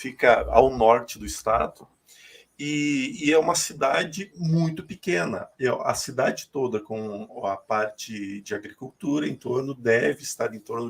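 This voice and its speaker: With a normal speaking voice at medium pitch, a man talks at a fairly slow pace, using lively intonation and big swings in loudness. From Rio Grande do Sul, Brazil (north, small town). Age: 40s. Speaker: spiritual medium. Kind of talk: interview testimony.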